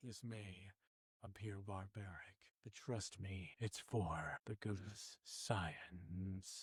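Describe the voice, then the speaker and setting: A man's put-on character voice, fairly low and very slow, with a dry, close sound and no echo. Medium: actual play.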